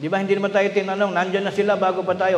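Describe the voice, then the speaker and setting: In audible room echo, a man with a high pitch talks loud at a very fast pace. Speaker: preacher. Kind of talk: sermon. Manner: loud, raised voice; energetic.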